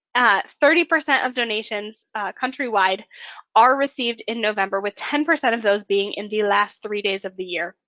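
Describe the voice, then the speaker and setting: At a moderate pace, a woman speaks at a fairly high pitch in an unremarkable speaking voice. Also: ordinary pitch variation. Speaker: webinar presenter. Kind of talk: webinar presentation. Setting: online webinar, screen sharing.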